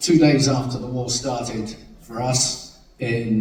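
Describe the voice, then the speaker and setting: At a very slow pace and with fairly even intonation, the voice carries audible room echo and noticeable background noise. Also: man. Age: 60s. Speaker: peace volunteer. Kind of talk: interview testimony.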